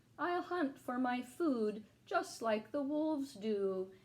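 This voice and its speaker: A woman's high, put-on character voice unfolds very slowly. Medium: read story.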